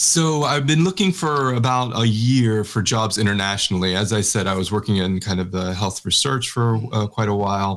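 A man with an American accent speaks at a moderate pace, barely pausing, in a fairly low pitch with ordinary pitch variation and very even loudness. His is a plain, everyday voice. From Texas. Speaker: researcher and social entrepreneur. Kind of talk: interview conversation.

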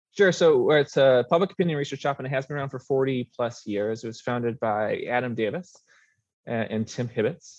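A man with an American accent speaks in an ordinary speaking voice at a fairly quick pace, medium pitch and ordinary pitch variation. The sound is dry and close with no echo, against a quiet background. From Minnesota, US Midwest. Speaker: pollster. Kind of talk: interview.

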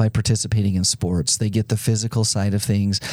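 Over a very clean recording with a silent background, a man speaks at a moderate pace in a dark, mellow tone, with a fairly low pitch and fairly even intonation. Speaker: sports event executive. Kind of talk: interview. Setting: studio.

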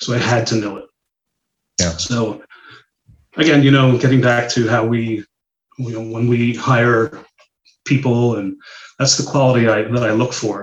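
Somewhat breathy, a man talks at a moderate pace and a medium pitch. His intonation stays fairly even, broken by long, frequent pauses. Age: 50s. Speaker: medical device sales consultant. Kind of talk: casual interview.

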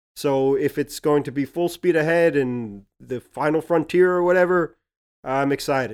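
In a dry, close recording with no echo, a man speaks at a moderate pace with a fairly high pitch, ordinary pitch variation and an unremarkable speaking voice. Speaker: podcast co-host. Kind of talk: casual podcast chat about a TV show.

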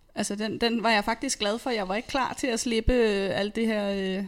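With fairly even intonation and a moderate pace, a woman talks in an ordinary speaking voice at a fairly high pitch. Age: 30s. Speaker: nurse and personal trainer. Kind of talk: interview testimony. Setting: studio.

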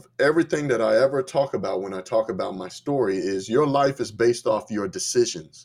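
An ordinary speaking voice moves at a moderate pace with lively intonation. It comes through on a very clean recording with a silent background. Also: man. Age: 30s. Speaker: conservative activist and entrepreneur. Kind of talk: interview.

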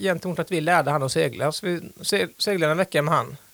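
This man's voice sits high in pitch for a man, with ordinary pitch variation. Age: 40s. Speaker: sailor, small business owner. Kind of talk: interview. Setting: studio.

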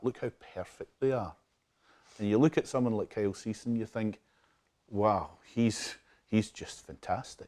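In a West Coast Scottish accent, a man speaks at a moderate pace and fairly low pitch with fairly even intonation, the sound dry and close with no echo on a very clean recording with a silent background. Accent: soft West Coast Scottish. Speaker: hypnotherapist and self-help audio creator. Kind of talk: interview conversation.

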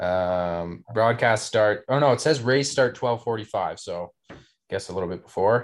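This very clean recording, with a silent background, features a man speaking at a fairly slow pace. He has an ordinary speaking voice of medium pitch and ordinary pitch variation. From Canada. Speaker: professional triathlete. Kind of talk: casual chat. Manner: relaxed, chatty.

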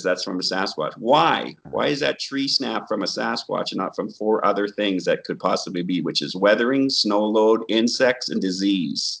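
Over a quiet background, a man with a plain, everyday voice speaks at a fairly low pitch and moderate pace, with ordinary pitch variation. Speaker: Bigfoot researcher and therapist educator. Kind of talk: casual interview chat.

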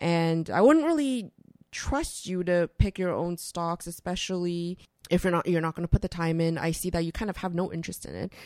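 With a Canadian accent, an ordinary speaking voice moves at a fairly quick pace with ordinary pitch variation, its sound dry and close with no echo on a very clean recording with a silent background. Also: woman, fairly low pitch for a woman. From Canada (Toronto). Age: 30s. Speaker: investment educator and author. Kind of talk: interview. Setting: studio.

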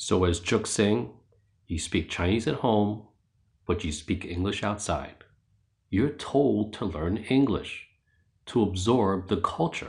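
Somewhat breathy and in a New York accent, the speaker talks at a very slow pace with lively intonation. Long, frequent pauses break up the speech over a quiet background. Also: man, fairly low pitch for a man. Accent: New York American. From New York City (Queens). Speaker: podcast narrator. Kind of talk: scripted narration.

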